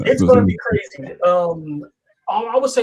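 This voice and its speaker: Here a man speaks with a New York accent. His pitch is high. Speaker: motorsport podcast panelist. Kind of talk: casual chat.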